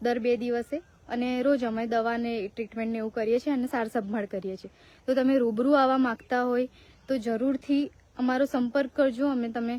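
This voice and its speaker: A woman speaks at a high pitch. Her intonation is flat and monotone. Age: 20s. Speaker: cow shelter founder and social media creator. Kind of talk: live video appeal for donations.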